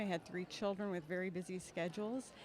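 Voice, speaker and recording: Her voice is an unremarkable speaking voice, a woman at medium pitch talking at a moderate pace. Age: 60s. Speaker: nonprofit executive and alumna. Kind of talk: interview.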